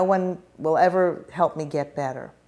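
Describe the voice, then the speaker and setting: In an American accent, a woman speaks at a fairly slow pace with a fairly low pitch and fairly even intonation. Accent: New York, suppressed in formal speech. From US Northeast, New York. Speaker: educator and speech coach. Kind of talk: interview. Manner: formal, careful articulation.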